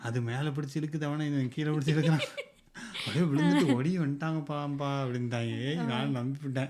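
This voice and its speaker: Fairly even intonation from a man with a fairly high pitch, over noticeable background noise. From Tirunelveli, Tamil Nadu. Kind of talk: casual podcast conversation, storytelling.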